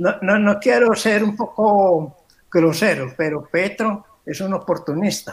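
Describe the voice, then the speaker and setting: With lively intonation, the words come out at a very slow pace. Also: man, high pitch for a man. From Colombia. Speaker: guest commentator. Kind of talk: interview.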